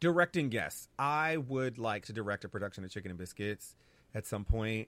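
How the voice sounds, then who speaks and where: A man with a plain, everyday voice speaks at a moderate pace in a fairly low pitch. His intonation is lively. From US Northeast, New Haven, Connecticut. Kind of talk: casual interview.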